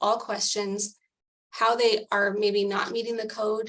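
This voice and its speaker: Flat, monotone intonation carries words delivered at a fairly slow pace. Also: woman. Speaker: advisory council member presenting recommendation. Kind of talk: policy presentation at public meeting.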